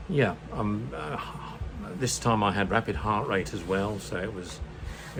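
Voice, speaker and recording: A man with a British accent speaks at a moderate pace in a fairly low voice with ordinary pitch variation, over noticeable background noise and audible room echo. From UK. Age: 70s. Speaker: retired vlogger. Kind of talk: casual vlog monologue. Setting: home room. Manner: halting, many fillers.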